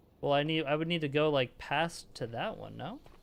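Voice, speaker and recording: At a moderate pace, a man talks in a normal speaking voice at a medium pitch. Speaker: streamer. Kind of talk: live gaming stream commentary.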